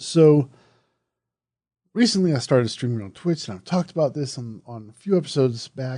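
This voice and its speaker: The voice has a dark, mellow tone and lively intonation, moving at a fairly quick pace with big swings in loudness and long, frequent pauses. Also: man, fairly high pitch for a man. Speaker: horror podcast host. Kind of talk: casual podcast monologue. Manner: conversational, with fillers and restarts.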